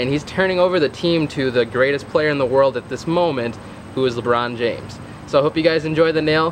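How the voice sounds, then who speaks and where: A man's fairly quick speech is accompanied by noticeable background noise. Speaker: husband doing voiceover. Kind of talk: casual talk to camera.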